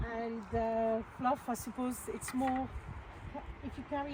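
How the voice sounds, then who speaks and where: Fairly slow speech in a French accent, with fairly even intonation. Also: woman. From France. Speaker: allotment vlogger. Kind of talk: casual vlog chat. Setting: outdoors.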